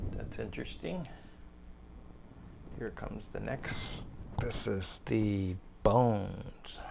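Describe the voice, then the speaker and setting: The speaker is soft-spoken and talks at a very slow pace. Long pauses come often. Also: man. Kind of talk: casual show-and-tell to camera. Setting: home recording, lapel mic, some handling noise.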